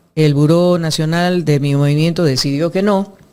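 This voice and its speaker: A woman's voice carries a dark, mellow tone and fairly even intonation. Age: 60s. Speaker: former legislator, architect. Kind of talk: interview. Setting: studio.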